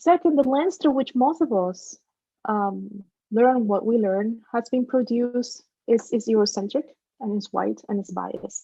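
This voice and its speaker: A woman with a Spanish accent talks at a fairly slow pace in a fairly high pitch and a dark, mellow tone. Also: ordinary pitch variation. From Dominican Republic, then Trenton, New Jersey from age 12. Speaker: professor, keynote speaker. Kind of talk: keynote lecture.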